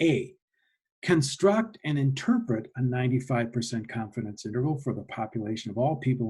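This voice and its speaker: Somewhat breathy, a man's dark, mellow voice sits at medium pitch with ordinary pitch variation. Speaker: statistics teacher. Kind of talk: lecture. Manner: slow, deliberate pace; many fillers and restarts.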